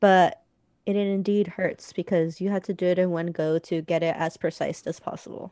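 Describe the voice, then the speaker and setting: In a very clean recording with a silent background, a woman with a fairly low pitch speaks in a monotone, flat intonation. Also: moderate pace. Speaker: podcast co-host. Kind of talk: casual chat. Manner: audible inhales before sentences. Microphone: internet cutting out.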